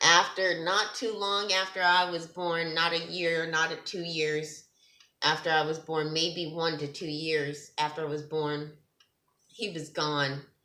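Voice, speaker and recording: In a room with audible echo, a woman speaks slowly-ish at a fairly low pitch, her tone bright and sharp and her intonation fairly even. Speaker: testimony vlogger, ministers to girls. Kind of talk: testimony. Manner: halting, stuttering.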